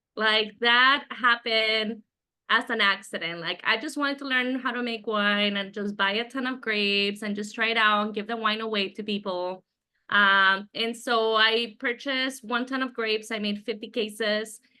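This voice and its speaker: A woman's fairly high voice moves at a moderate pace, its intonation fairly even. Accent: Spanish. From Mexico, moved to the US at twelve. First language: Spanish. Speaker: winemaker and winery owner. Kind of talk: interview.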